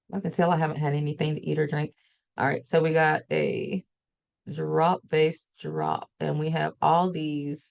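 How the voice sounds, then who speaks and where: A woman with a Southern US accent speaks in a very deep, low voice. Her pace is fairly slow and her intonation fairly even. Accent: southern US twang. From US South. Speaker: forex trader and trading educator. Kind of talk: live trading session. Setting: livestream.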